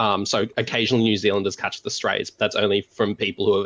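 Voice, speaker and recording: This man speaks very fast with an Australian accent. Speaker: Hearthstone deck guide guest. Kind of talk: casual chat.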